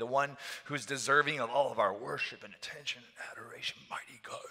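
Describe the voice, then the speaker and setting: Against a quiet background, a man is talking. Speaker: pastor. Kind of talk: sermon. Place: church. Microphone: headset.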